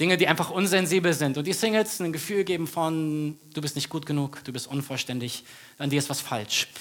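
Fairly high in pitch, a man talks at a fairly quick pace with ordinary pitch variation. He has a plain, everyday voice. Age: 30s. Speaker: pastor. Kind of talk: sermon. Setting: church stage with audience.

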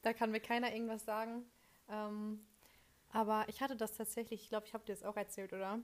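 A woman's fairly high voice in a flat monotone, very fast but with long, frequent pauses. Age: young. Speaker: communication studies student and podcast co-host. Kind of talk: casual chat.

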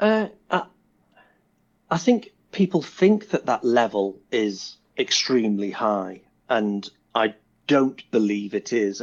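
Fairly low in pitch, a man speaks with a British accent at a fairly slow pace. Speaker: software developer and tech recruiter. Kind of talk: casual interview. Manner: easy to understand.

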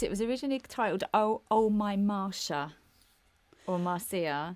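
A woman with an English accent on a very clean recording with a silent background. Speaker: podcast co-host. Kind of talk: casual chat. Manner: chatty, halting.

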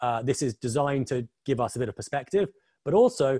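In an English accent, the speech moves at a fairly quick pace with very wide pitch swings and a dry, close sound with no echo. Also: man. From England. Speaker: quant, model risk expert. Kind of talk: webinar presentation.

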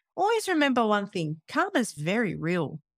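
In an Australian accent, a woman with a fairly high pitch speaks at a moderate pace, in a very clean recording with a silent background and a dry, close sound with no echo. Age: 30s. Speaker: personal trainer and podcaster. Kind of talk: casual interview chat. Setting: home office recording.

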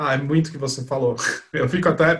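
A man speaks at a moderate pace, somewhat breathy. His intonation stays fairly even. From Brazil, São Paulo. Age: 20s. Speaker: advertising professional. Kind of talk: casual chat.

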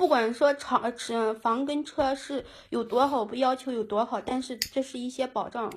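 High-pitched speech from a woman at a fairly slow pace. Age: 30s. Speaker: caller. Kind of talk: phone-in advice call. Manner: halting.

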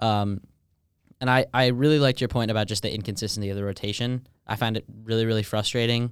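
Speech comes at a very fast pace with an American accent and fairly even intonation. The recording is very clean, with a silent background. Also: man, medium pitch for a man. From Westchester, New York. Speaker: student sports editor and co-host. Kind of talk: casual chat. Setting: studio.

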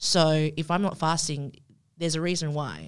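A woman speaks at a moderate pace in a very deep, low voice with fairly even intonation. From Indonesia. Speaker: student podcast host. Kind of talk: casual interview.

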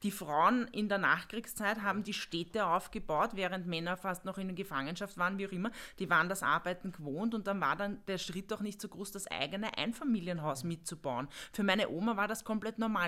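A woman's medium-pitched, bright, sharp voice at a fairly quick pace, with ordinary pitch variation. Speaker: junior business manager. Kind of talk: casual chat.

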